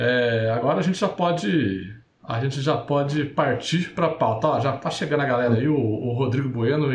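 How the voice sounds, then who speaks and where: A man talks at a moderate pace in a medium pitch with ordinary pitch variation. Audible room echo surrounds his voice. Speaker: podcast host. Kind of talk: casual chat. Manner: halting.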